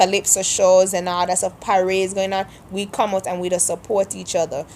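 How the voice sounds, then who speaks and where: In a Kittitian accent, a woman speaks at medium pitch. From St Kitts (Sandy Point, Frigate Bay). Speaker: vlogger. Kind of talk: accent tag vlog, casual monologue.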